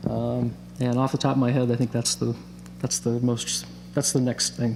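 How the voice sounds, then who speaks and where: A soft-spoken man talks at a moderate pace with an American accent, his loudness very even. Noticeable background noise runs beneath him. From US Pacific Northwest, Bellingham, Washington. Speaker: singer-songwriter. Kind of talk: interview. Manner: halting. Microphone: too far from the mic.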